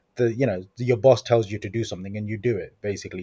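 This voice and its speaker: A man's somewhat breathy voice sits at medium pitch with a dark, mellow tone and ordinary pitch variation. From Coventry, English Midlands. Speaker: social media trainer. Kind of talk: podcast interview.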